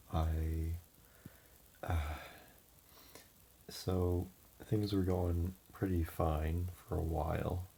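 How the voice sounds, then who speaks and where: Quiet and somewhat breathy, a man speaks at a very slow pace in a very deep, low pitch with a dark, mellow tone, monotone, flat intonation, very even loudness, and long, frequent pauses. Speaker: vlogger giving personal updates. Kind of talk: casual personal update. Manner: hesitant, many fillers.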